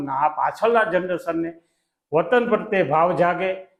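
Here a man speaks with a high pitch and ordinary pitch variation. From Siyot village, Kutch, Gujarat. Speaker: community leader. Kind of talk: interview. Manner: halting.

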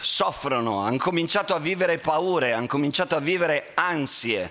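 A man with a fairly high pitch speaks at a fairly slow pace. His pitch variation is ordinary. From Italy. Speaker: teacher; conference speaker, school teacher. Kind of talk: talk to students via interpreter. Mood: earnest, warm. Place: hall. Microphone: headset.

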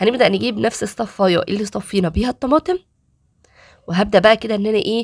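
A woman speaks in an animated tone with an Egyptian accent, her pitch medium and its variation ordinary. The sound is dry and close, with no echo. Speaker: cooking and beauty tips youtuber. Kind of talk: tutorial.

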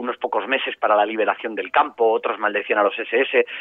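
At a very fast pace, a man speaks. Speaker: journalist and author. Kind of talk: interview.

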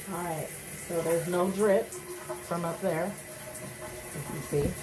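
Over noticeable background noise, a woman talks in a fairly low pitch with fairly even intonation. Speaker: home DIY vlogger. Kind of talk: casual vlog chat. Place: bathroom. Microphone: phone near.

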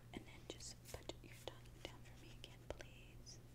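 At a fairly slow pace, a woman is talking. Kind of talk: role-play medical exam talk. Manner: soft, hushed ASMR doctor voice. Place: home room.

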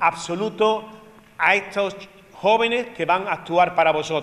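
At a fairly slow pace, a man speaks with a high pitch that varies in an ordinary way. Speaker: presenter. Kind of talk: address to audience. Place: stage. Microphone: handheld.

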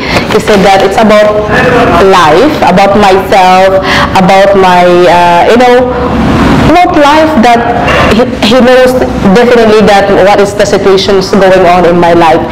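Noticeable background noise sits behind a woman talking. She goes at a fairly slow pace with ordinary pitch variation. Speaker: vlogger. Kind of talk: casual vlog chat. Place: cafe. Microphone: lapel.

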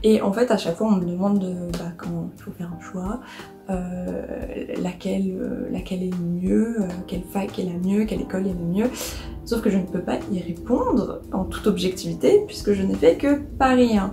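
A woman's speech with ordinary pitch variation, long and frequent pauses, and clear music in the background. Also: moderate pace. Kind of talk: casual vlog chat. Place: home room. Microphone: phone near.

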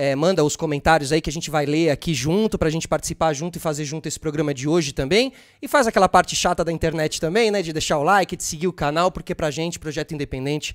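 A man with a Brazilian accent, fairly high-pitched with ordinary pitch variation, at a very fast pace over a quiet background. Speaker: podcast host. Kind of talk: casual interview. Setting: studio. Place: studio. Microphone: studio mic.

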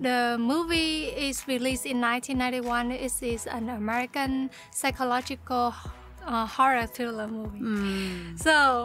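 The speech moves at a fairly slow pace with fairly even intonation. Faint music sits in the background, and the sound is dry with no echo. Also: woman, high pitch for a woman. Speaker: reaction channel host. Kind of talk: casual vlog intro. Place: home room.

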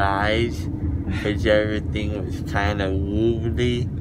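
The speaker mumbles at a fairly slow pace with ordinary pitch variation. The sound is dry with no echo, under loud background noise. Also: man. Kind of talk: casual chat, groggy. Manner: drowsy, mumbled, anesthesia-slurred voice. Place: car. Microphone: phone near.

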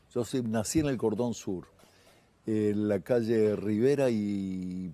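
A man with a fairly low pitch and a dark, mellow tone is recorded with a dry sound and no echo. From Uruguay, Montevideo; Uruguay. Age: 60s. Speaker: singer-songwriter and guitarist; guest. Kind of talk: casual TV interview. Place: studio. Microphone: lapel.

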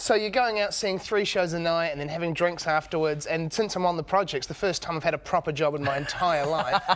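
In a New Zealand accent, a man talks at a fairly quick pace with hardly any pauses, his high pitch showing ordinary variation. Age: 20s. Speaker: comedian. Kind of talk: casual chat. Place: studio.

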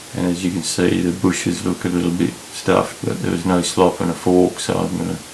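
Over light background noise, a man with a very deep, low pitch talks at a moderate pace in a monotone, flat intonation. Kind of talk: tutorial. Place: garage. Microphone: phone near.

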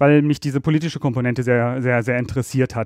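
The background stays quiet. A man rushes through his words at a very fast pace. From Rhineland, Germany (Ratingen near Düsseldorf). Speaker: energy law expert. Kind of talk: interview. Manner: hesitant, many filler sounds.

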